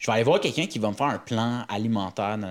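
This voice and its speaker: A Quebec accent at a very fast pace, on a very clean recording with a silent background. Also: man. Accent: Québécois French. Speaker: comedian. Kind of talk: casual chat.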